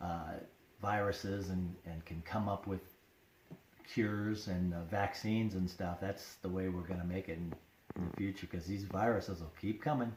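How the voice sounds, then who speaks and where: With very deep, low pitch, a man sounds somewhat breathy, keeping fairly even intonation at a moderate pace. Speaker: interviewee. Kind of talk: interview. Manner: halting.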